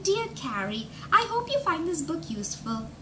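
In a put-on character voice that sounds female, the speaker uses a high pitch for a woman at a moderate pace, with clear background noise.

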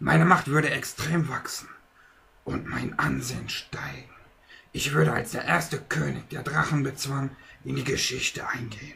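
A man uses a put-on character voice, raspy and medium in pitch. He talks at a moderate pace. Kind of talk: puppet theater acting. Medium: puppet show. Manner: brooding, scheming, spiteful.

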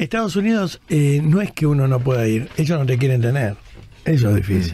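A man's somewhat breathy, dark, mellow voice, fairly high in pitch, with very wide pitch swings, a fairly quick pace and very even loudness. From Argentina (Buenos Aires). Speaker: radio host and monologist. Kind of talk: radio talk show, call-in editorial.

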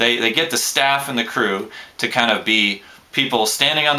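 The speaker is a man. Light background noise can be heard. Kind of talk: casual vlog chat. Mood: relaxed, lightly amused. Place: home room. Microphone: webcam.

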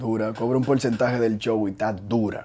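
A man with a Dominican accent and a medium-pitched voice, faint music in the background. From Dominican Republic. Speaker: show creator and youtuber; show creator, youtuber. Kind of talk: casual interview. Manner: animated. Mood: relaxed, joking. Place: studio. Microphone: lapel.

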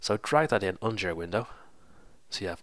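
A man talks at a moderate pace in a low voice. His pitch varies in an ordinary way.

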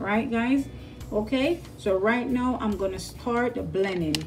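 A woman with ordinary pitch variation over faint background music. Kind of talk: tutorial. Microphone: phone near.

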